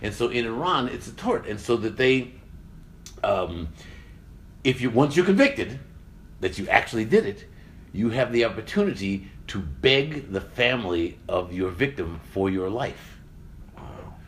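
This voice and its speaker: Somewhat breathy and at a medium pitch, a man with an American accent talks at a fairly slow pace with long, frequent pauses and very wide pitch swings. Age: 60s. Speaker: science communicator and podcast host. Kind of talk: casual intellectual discussion. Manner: halting.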